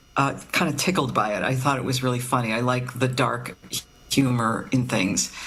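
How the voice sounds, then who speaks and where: With noticeable background noise and audible room echo, a woman speaks at a moderate pace in a very deep, low pitch with fairly even intonation. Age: 60s. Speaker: novelist. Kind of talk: interview. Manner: halting, many fillers.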